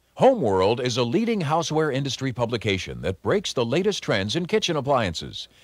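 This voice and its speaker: Over a silent background in a very clean recording, a man at medium pitch talks at a fairly quick pace with hardly any pauses, very wide pitch swings, and vocal fry. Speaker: announcer. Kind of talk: infomercial voice-over narration.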